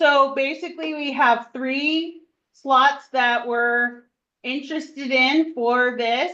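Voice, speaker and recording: A loud, high-pitched woman's voice. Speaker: math teacher. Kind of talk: classroom lesson.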